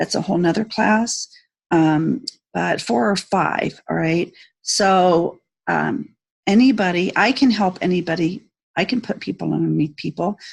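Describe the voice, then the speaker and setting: Fairly slow, lively woman's speech with a fairly low pitch and vocal fry. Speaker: network marketing team leader. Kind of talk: tutorial. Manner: hesitant, many fillers.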